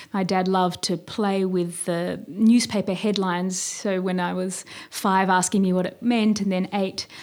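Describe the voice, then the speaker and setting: At a moderate pace, a woman with an Australian accent speaks at a medium pitch and fairly even intonation in a very clean recording with a silent background. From Australia, Sydney. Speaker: novelist and poet. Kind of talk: casual interview.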